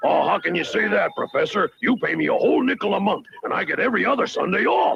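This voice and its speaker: A man puts on a cartoonish character voice. He speaks at a very fast pace. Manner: dopey, hesitant.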